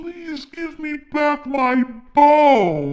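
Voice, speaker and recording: A high-pitched, put-on character voice carries this clip. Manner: pleading, polite.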